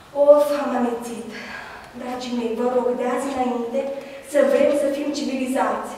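A woman is speaking. There is strong room echo. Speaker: actor in a staged anti-corruption sketch. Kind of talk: dramatic monologue. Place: hall.

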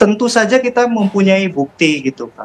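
With light background noise, a man talks at a fairly slow pace in a high pitch. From West Java, Indonesia. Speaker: interviewee. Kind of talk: interview. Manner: hesitant with fillers. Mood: earnest, defensive. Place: home room. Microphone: earbuds.

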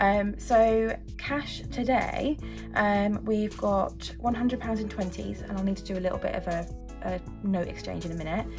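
A woman speaks at a fairly slow pace. There is music in the background. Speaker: budgeting vlogger. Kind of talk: casual vlog chat. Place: home room. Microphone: phone near.

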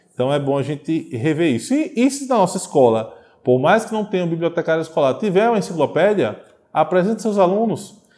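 A man speaks at a high pitch with a dark, mellow tone. His pitch swings very widely at a fairly quick pace. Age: 30s. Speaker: teacher. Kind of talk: video lecture; lecture. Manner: hesitant, many fillers. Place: classroom. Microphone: lapel.

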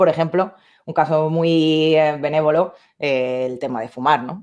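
A woman's fairly even intonation over a quiet background. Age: 30s. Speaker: video editor and camera operator; interview guest. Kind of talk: interview. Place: home room. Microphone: video call.

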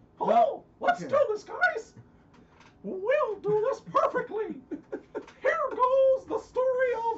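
An extremely high, squeaky put-on character voice at a fairly slow pace, broken by long, frequent pauses. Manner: playful, storyteller.

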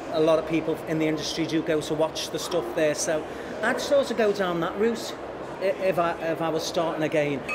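Through loud background noise, a man talks at a moderate pace with a Liverpool accent. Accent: Liverpool (Scouse) English. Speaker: TV director and former actor. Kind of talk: casual interview chat. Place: cafe.

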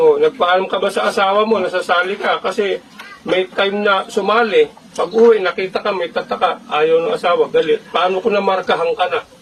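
Over noticeable background noise, a man with a high voice speaks fairly quickly with fairly even intonation. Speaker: fraternity officer addressing members. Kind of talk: speech to a chapter gathering.

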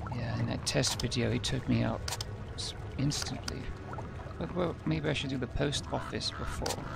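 Amid loud background noise, a man speaks with long, frequent pauses in a dry sound with no echo. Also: moderate pace. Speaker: video game let's player. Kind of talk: casual gameplay commentary. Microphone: headset.

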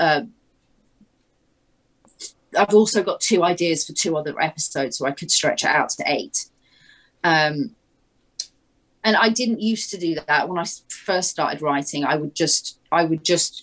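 Against a quiet background, a woman speaks at a moderate pace with a fairly low pitch, ordinary pitch variation and long, frequent pauses. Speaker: guest. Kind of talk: interview answer. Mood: thoughtful, reflective. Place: home room.

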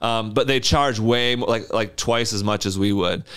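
A man with a Michigan accent, fairly low in pitch, monotone and flat at a moderate pace, against a quiet background. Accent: Upper Midwest (Michigan) American. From West Michigan (Wyoming, near Grand Rapids). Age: 30s. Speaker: small business owner, junk removal. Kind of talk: casual interview chat. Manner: casual, filler-heavy. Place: studio. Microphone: studio mic.

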